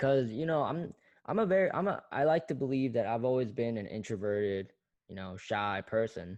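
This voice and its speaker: An American accent at a moderate pace over a quiet background. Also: man. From South Korea, raised in US from young age. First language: Korean. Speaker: podcaster. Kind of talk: casual solo podcast monologue. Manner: hesitant, many fillers.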